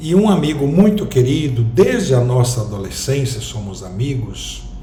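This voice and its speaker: Noticeable background noise and audible room echo surround a man who speaks at a fairly slow pace. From southern Brazil, Rio Grande do Sul. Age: 60s. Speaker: vlogger. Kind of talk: personal reflective monologue.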